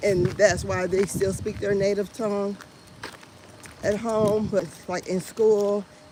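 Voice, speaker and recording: There is noticeable background noise behind a woman of medium pitch. She speaks at a fairly slow pace with ordinary pitch variation. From Indiana, US Midwest. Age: 50s. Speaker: vlogger. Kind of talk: casual chat. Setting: outdoors. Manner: animated.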